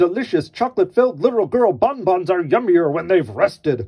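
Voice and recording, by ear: Putting on a loud character voice, a man speaks at a high pitch and a fairly quick pace, with lively intonation and a slightly husky edge.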